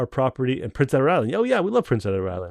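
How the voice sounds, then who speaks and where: A man's very fast speech in a Canadian accent, medium in pitch, with a dry, close sound and no echo. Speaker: company owner hosting livestream. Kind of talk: live stream Q&A. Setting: video call livestream. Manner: casual, many fillers and restarts.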